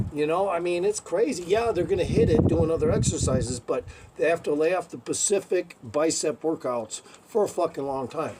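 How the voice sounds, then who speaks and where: At a moderate pace, a man speaks with ordinary pitch variation over noticeable background noise. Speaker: calisthenics enthusiast. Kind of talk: casual talk to camera. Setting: outdoors. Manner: profane, rambling.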